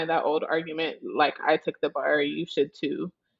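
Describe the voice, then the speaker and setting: Speaking in an American accent at a fairly slow pace, a woman has a fairly low pitch and an unremarkable speaking voice. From Nebraska. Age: 20s. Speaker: law student. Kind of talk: casual chat.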